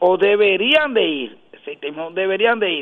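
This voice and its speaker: Very slowly, a man talks in a high voice. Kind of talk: radio interview.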